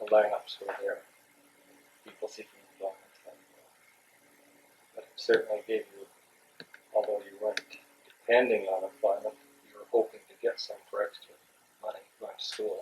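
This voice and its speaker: A man talks at a moderate pace with long, frequent pauses. His loudness swings widely. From Western Canada, Vancouver. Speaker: retired social worker. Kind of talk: oral history interview.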